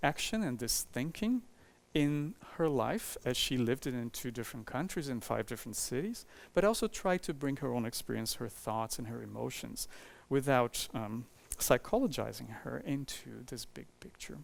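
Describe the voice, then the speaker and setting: On a very clean recording with a silent background, a man with a Portuguese accent talks at a moderate pace in a fairly high pitch, making very wide pitch swings. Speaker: architecture professor and author. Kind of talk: lecture. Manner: halting, with many fillers.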